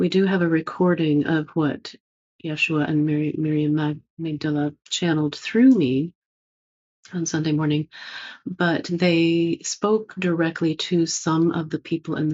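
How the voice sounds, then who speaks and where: Very deep, low female voice with ordinary pitch variation. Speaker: spiritual teacher, channeler. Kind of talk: spiritual talk, monologue. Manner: slow.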